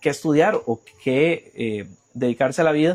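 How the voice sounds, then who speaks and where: In a Costa Rican accent, a man speaks with a fairly high pitch and lively intonation, the sound dry and close with no echo. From Costa Rica, Puriscal. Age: 30s. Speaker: journalist. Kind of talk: interview. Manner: halting.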